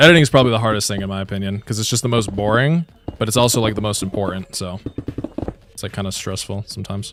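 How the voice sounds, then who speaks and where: A man with a fairly low voice talks at a very fast pace with ordinary pitch variation. Background noise is noticeable. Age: 20s. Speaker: gaming streamer. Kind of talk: live stream casual chat. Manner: casual, filler-heavy.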